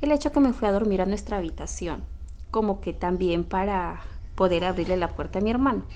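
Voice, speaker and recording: With vocal fry and lively intonation, a woman talks at a fairly quick pace. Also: medium pitch for a woman. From Peru. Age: 30s. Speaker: story contributor. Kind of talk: storytelling. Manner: halting.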